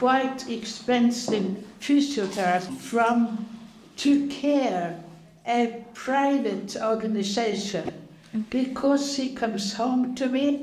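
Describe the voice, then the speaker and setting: A woman with a fairly high voice speaks at a very slow pace, with ordinary pitch variation. There is audible room echo and noticeable background noise. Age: 80s+. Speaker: senior centre user. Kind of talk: casual chat.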